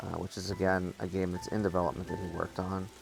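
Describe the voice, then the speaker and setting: A man is speaking. Music plays in the background. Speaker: VR gaming YouTuber. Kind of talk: gameplay commentary. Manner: casual, with frequent fillers.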